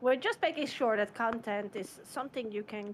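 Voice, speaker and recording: Speaking with a non-native accent, a woman keeps a moderate pace and ordinary pitch variation. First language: not English. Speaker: streamer. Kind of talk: casual chat.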